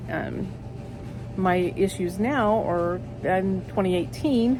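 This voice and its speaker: There is noticeable background noise and audible room echo as a woman speaks in an Oklahoma accent. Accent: southern US, rural Oklahoma. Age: 60s. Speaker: vlogger. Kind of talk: personal testimony. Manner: halting, many fillers.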